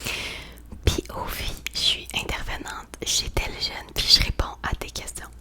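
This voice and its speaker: A whispering woman with a Quebec accent, very slow pace, big swings in loudness, and noticeable background noise. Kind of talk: ASMR roleplay. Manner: whispered.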